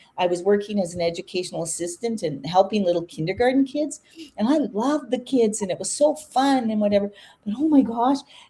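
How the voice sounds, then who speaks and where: A woman's fairly high, somewhat breathy voice with a dark, mellow tone, lively intonation and a very fast pace. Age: 60s. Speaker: online business owner hosting a live chat. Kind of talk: casual chat.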